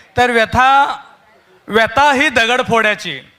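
Using a raised, projected voice, a man speaks at an extremely high pitch with fairly even intonation. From Solapur, Maharashtra. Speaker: poet. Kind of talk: introduction to an audience. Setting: live event stage.

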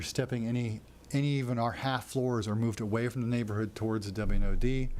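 A man talks at a very fast pace and a medium pitch. The room echo is audible. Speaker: developer or architect presenting a project. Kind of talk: presentation to city council. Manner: many fillers (uh, um).

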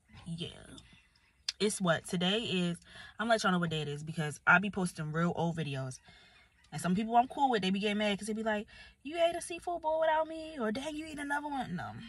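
A woman speaks at a very fast pace, somewhat breathy, in a dry sound with no echo. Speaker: vlogger. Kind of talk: casual vlog chat. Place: car. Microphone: phone near.

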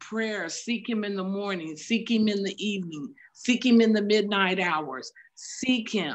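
A woman speaks at a medium pitch. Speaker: church member. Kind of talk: spontaneous exhortation on prayer; sermon-like exhortation in prayer. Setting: video call. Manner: fervent, rhythmic repetition. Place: home room. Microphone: video call.

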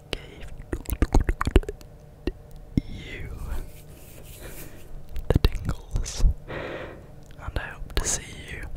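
Whispering and soft-spoken, a man speaks at a very slow pace with long, frequent pauses. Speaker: ASMR creator. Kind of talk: soft ASMR talk. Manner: soft close-mic ASMR whisper. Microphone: studio mic.

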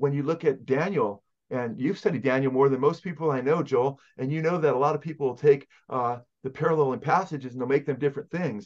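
A man with a Californian accent, very fast pace, ordinary pitch variation, a warm, enthusiastic tone and a quiet background. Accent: Californian American English. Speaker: pastor. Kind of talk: Bible teaching interview. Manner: fast talker. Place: office. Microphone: webcam.

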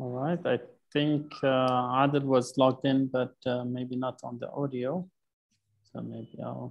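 A man speaks with an Arabic accent in monotone, flat intonation, with big swings in loudness. The background is quiet. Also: fairly slow pace. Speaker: water program coordinator; meeting facilitator. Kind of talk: online meeting discussion. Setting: video call. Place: home room. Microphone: earbuds.

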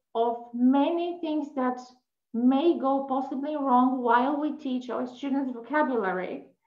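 Against a quiet background with audible room echo, a woman speaks fairly slowly in a high voice with ordinary pitch variation. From Poland. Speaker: English teacher. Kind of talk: webinar presentation. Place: home room. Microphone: video call.

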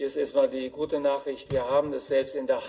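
The speaker is a man. He talks at a moderate speed. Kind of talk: press statement. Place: hall.

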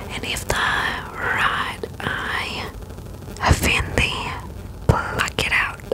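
Whispering at a very slow pace, a woman is heard in a dry sound with no echo over noticeable background noise. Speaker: bible reader. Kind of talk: soft spoken bible reading and reflection. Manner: close-mic ASMR whisper. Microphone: studio mic.

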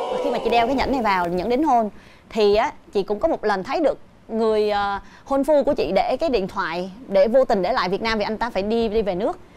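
With lively intonation, a woman is talking. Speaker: talk show host or guest. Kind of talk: talk show commentary, personal story. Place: studio. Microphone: lapel.

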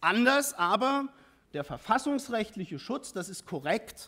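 A man is talking. His pace is fairly slow. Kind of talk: parliamentary speech. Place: hall. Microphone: podium.

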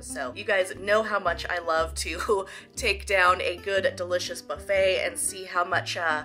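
Clear background music behind a woman's moderately paced speech. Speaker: food vlogger. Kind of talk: casual vlog chat. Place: home room. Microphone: phone near.

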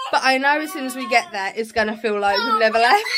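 Over a quiet background, a woman projects a raised voice with a bright, sharp tone. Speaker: family vlogger. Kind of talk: casual vlog chat. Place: home room. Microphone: phone near.

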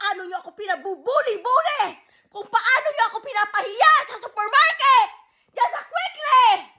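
A woman speaks in a raised, projected voice at an extremely high pitch and a moderate pace. Her tone is bright and sharp, her intonation lively, and her loudness swings widely. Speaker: vlogger. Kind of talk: angry rant to camera. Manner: loud, shouting.

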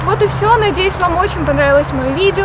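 A woman speaks against loud background noise. The sound is dry, with no echo. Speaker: fitness vlogger. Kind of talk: casual vlog chat. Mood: cheerful, warm. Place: forest.

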